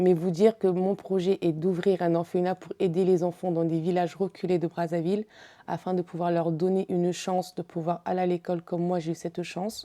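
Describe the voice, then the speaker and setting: Her voice has a dark, mellow tone, and this woman's pitch is fairly low. She speaks at a moderate pace in a monotone, flat intonation. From Congo. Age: 30s. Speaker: beauty pageant contestant, model. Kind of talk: interview.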